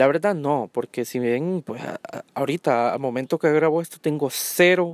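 A man with a Honduran accent, fairly high-pitched, speaking at a fairly slow pace with fairly even intonation, in a very clean recording with a silent background and a dry, close sound with no echo. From Honduras. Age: 20s. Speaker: podcaster. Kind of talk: solo monologue podcast. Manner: hesitant, many fillers.

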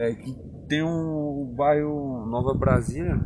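A man at medium pitch, with ordinary pitch variation and a fairly slow pace, plus noticeable background noise and audible room echo. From Bahia, Brazil (Barreiras; born in Alagoas). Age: 20s. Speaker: interviewee, local resident. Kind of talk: casual interview. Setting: outdoors in a town square.

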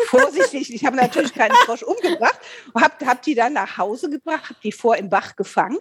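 At a fairly quick pace, a woman with a high pitch and lively intonation speaks over noticeable background noise. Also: big swings in loudness. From Rhineland, Eifel region, Germany. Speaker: podcast co-host, voice actor. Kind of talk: casual chat.

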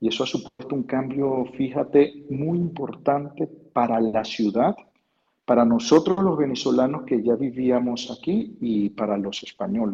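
The voice has a dark, mellow tone and lively intonation. It moves at a fairly slow pace. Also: man, medium pitch for a man. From Venezuela, Lara state (Quíbor). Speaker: university professor. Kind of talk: interview. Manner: halting, with many repetitions.

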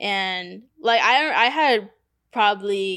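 Her voice sits at a medium pitch for a woman and has a bright, sharp tone. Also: very clean recording, silent background. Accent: American. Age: 20s. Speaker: tattoo artist. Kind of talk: casual chat. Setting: tattoo studio.

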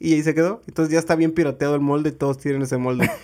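A man with a Mexican accent speaks with a fairly high pitch. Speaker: podcast co-host and editor. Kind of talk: casual chat.

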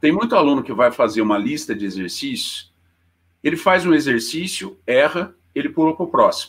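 Moving at a fairly quick pace, a man with a fairly high pitch and vocal fry swings his pitch very widely. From Minas Gerais, Poços de Caldas. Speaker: teacher. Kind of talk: casual interview; lecture.

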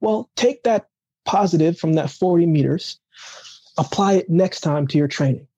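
A man's dark, mellow voice, high in pitch, at a moderate pace with very even loudness, ordinary pitch variation and a dry, close sound with no echo. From Jamaica, raised later in Canada. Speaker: Olympic athlete and motivational speaker. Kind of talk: casual interview chat. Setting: remote call.

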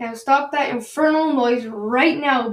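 A woman talks fairly slowly in a high, put-on character voice. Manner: roaring, commanding.

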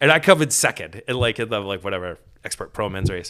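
A man in an animated tone with an American accent, lively intonation and a very fast pace. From Maine, US. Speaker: mountain bike racer and youth cycling program organizer. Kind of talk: casual chat. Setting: home studio at kitchen table.

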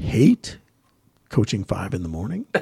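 Somewhat breathy, the man talks with an American accent. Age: 40s. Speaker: gym owner and podcast host. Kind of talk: casual chat.

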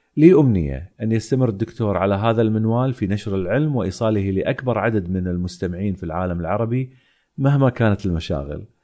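Against a quiet background, a dark, mellow voice with lively intonation moves at a fairly quick pace with hardly any pauses. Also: man, fairly low pitch for a man. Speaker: science podcast host. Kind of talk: solo podcast monologue reading listener mail.

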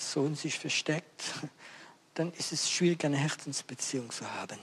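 A man with a French accent speaks at a moderate pace. His pitch is fairly high and his intonation is monotone and flat. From France. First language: French (speaking German). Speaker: evangelist preacher. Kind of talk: sermon.

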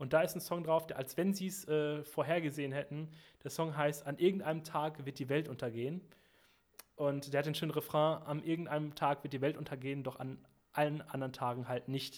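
Fairly high in pitch for a man, his is a plain, everyday voice, moving at a fairly quick pace with fairly even intonation. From western Germany (Sauerland, Arnsberg). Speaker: musician. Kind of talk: casual chat. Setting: remote call.

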